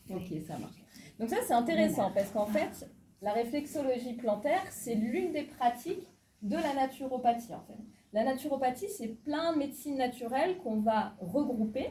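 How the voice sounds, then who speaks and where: A woman's high-pitched voice, dark and mellow in tone, with lively intonation at a moderate pace. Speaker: naturopathy student leading a workshop. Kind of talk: interactive workshop talk.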